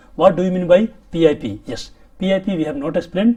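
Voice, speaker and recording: A man is speaking at a high pitch. His tone is dark and mellow. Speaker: safety training instructor. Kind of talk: lecture. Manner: fast.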